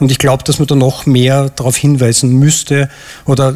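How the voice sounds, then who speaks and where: A somewhat breathy man at a medium pitch and moderate pace, in a monotone, flat intonation. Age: 40s. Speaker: airline pilot, audience volunteer. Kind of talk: live stage interview. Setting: stage with audience.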